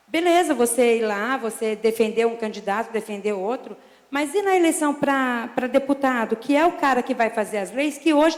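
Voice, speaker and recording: A woman's high voice with lively intonation. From interior of São Paulo state, Brazil. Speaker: military police sergeant. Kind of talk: public hearing statement. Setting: city council public hearing. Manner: informal, conversational.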